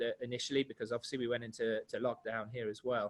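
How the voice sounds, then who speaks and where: At a fairly quick pace, a man talks with a British accent. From United Kingdom. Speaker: international student services coordinator and teacher. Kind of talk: webinar presentation. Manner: hesitant, many fillers.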